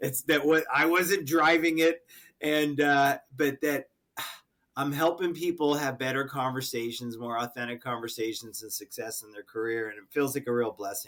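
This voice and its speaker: A man has a normal speaking voice with an American accent and a fairly high pitch. He talks at a moderate pace with ordinary pitch variation. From Connecticut. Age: 60s. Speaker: sales coach and author. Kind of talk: podcast interview.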